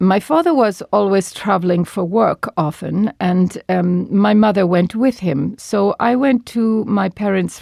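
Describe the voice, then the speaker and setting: A dark, mellow voice moves at a very slow pace with ordinary pitch variation in a dry, close sound with no echo. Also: woman. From Turkey, Istanbul. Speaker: former wartime wireless operator, interviewee. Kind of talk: interview testimony. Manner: halting.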